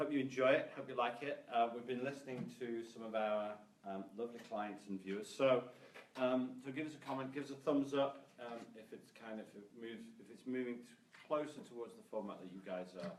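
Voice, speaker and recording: Through noticeable background noise, a man with a British accent speaks at a fairly quick pace and medium pitch, with ordinary pitch variation and big swings in loudness. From UK. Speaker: sales trainer. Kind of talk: casual live stream talk.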